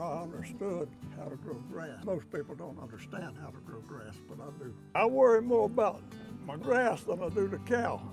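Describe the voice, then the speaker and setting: A man's fairly high voice with very wide pitch swings, music in the background. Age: 80s+. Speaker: regenerative cattle farmer. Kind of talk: interview answer.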